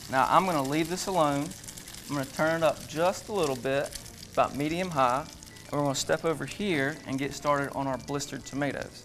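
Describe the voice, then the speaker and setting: With a strong Southern accent, a man talks at a fairly quick pace and a fairly high pitch, his pitch variation ordinary, over noticeable background noise. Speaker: chef. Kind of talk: cooking demonstration.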